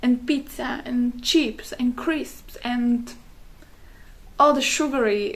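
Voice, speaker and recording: A woman talks at a very slow pace with a non-native accent. Her pitch is high with ordinary variation, and there is noticeable background noise. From Slovakia. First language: Slovak. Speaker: wellness content creator. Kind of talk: casual talk to camera. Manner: halting, many fillers.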